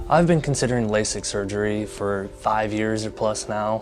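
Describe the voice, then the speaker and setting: Over noticeable background noise, a man with a fairly low pitch talks at a moderate pace with ordinary pitch variation. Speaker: LASIK patient. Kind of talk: testimonial interview answer.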